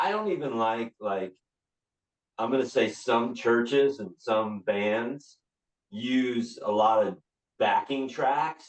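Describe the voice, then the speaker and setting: Speaking very slowly with long, frequent pauses, a man keeps a medium pitch and ordinary pitch variation. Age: 60s. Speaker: rock singer and band leader. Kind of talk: casual interview chat. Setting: podcast interview.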